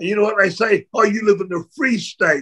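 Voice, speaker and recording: Projecting in a raised voice, a man with a New Zealand accent speaks at a high pitch with fairly even intonation. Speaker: retired pro wrestler. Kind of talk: interview.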